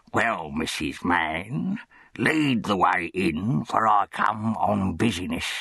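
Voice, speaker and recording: A man's put-on character voice, fairly low in pitch, with lively intonation at a very slow pace. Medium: read story. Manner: pompous, officious.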